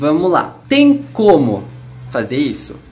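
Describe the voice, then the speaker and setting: A man's high-pitched voice with music in the background. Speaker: English teacher. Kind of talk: casual talk to camera.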